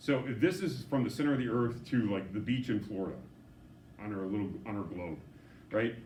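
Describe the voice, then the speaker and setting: Speaking at a fairly quick pace yet with long, frequent pauses, a man with a fairly low, somewhat breathy voice uses lively intonation amid audible room echo. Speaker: physics teacher. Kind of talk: lecture. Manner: fast.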